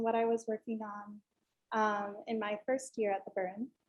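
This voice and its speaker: Soft-spoken, a woman talks at a moderate pace. She has an American accent. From Northern New York, US. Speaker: art student. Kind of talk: student presentation.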